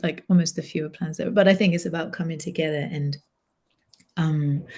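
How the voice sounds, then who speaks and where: A woman's fairly low, dark, mellow voice, somewhat breathy, with fairly even intonation and a fairly quick pace. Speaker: singer and vocal improvisation facilitator. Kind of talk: casual chat.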